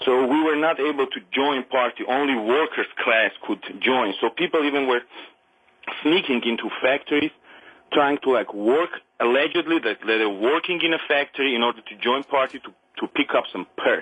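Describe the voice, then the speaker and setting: A man with an Armenian accent speaks at a moderate pace in a fairly high pitch, with ordinary pitch variation. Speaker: caller. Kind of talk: phone-in call.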